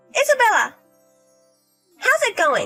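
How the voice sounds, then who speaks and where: Music plays behind a woman doing a put-on character voice. It is squeaky and extremely high-pitched. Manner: loud, slurred.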